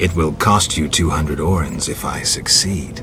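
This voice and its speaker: A put-on character voice at a moderate pace over loud background noise. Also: man, very deep, low pitch for a man. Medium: video game. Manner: terse, flat, deadpan.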